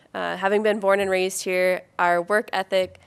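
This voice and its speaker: A woman talks at a fairly quick clip with an Upper Midwest accent. Her delivery is flat and monotone. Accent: Upper Midwest American. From Minnesota, US (Anoka). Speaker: political candidate. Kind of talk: candidate forum statement.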